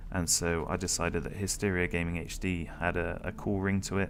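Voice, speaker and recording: With a British accent, a man talks at a fairly quick pace. His voice is very deep and low, with fairly even intonation. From Britain. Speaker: gaming youtuber. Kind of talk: casual vlog Q&A talk. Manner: dull, flat delivery; monotone.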